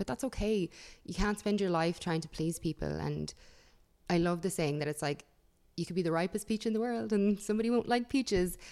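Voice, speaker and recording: On a very clean recording with a silent background, a woman with an Irish accent speaks very fast at a fairly low pitch, in a dark, mellow tone with ordinary pitch variation. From Ireland (Dublin, then countryside). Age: 30s. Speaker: beauty YouTuber. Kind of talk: casual interview. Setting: studio. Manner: animated.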